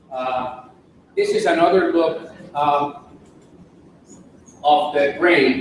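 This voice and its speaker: With audible room echo and noticeable background noise, a man talks at a very slow pace with long, frequent pauses, using a fairly high pitch and fairly even intonation. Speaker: physician speaker on dyslexia. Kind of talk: lecture. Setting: symposium with audience. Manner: hesitant with many fillers.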